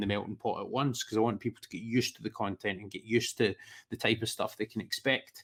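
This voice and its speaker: With a Scottish accent, a man talks at a very fast pace and medium pitch with ordinary pitch variation on a very clean recording with a silent background. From Scotland. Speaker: football podcaster. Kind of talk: casual chat.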